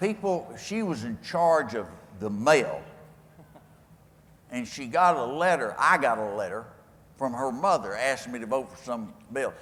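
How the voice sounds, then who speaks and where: A man with a West Texas accent and fairly high pitch, at a moderate pace with long, frequent pauses, very wide pitch swings, big swings in loudness and audible room echo. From West Texas, Lubbock. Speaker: former politician and keynote speaker. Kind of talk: speech Q&A with anecdotes. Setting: stage with audience at a convention. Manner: folksy storytelling.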